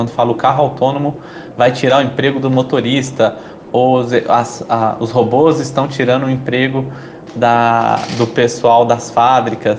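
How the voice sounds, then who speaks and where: A man's medium-pitched voice moves at a moderate pace in flat, monotone intonation, with noticeable background noise behind it. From Brazil, Belo Horizonte (Minas Gerais). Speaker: startup entrepreneur and social activist. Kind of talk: interview. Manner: hesitant, many fillers.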